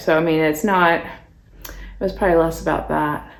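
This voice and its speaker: Audible room echo surrounds the voice of a woman as she talks. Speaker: beauty vlogger. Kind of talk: casual chat while doing makeup. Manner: rambling with many fillers.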